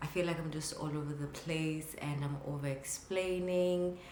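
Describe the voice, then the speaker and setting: A woman with a very deep, low pitch speaks at a moderate pace with fairly even intonation. Noticeable background noise and audible room echo are present. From South Africa, KwaZulu-Natal. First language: Zulu. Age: 30s. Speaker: photographer and vlogger. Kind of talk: casual vlog talk to camera.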